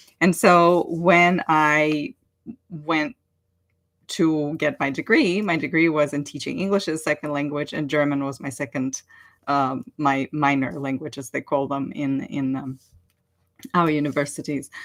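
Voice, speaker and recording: Over a very clean, silent background, a woman with a Russian accent speaks fairly slowly in a very deep, low voice with ordinary pitch variation. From Ukraine. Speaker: online language teacher and coach. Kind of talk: casual livestream talk.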